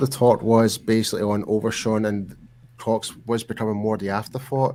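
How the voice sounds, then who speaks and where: This is a man speaking with a Scottish accent. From Scotland. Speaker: sports talk show host. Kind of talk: casual chat.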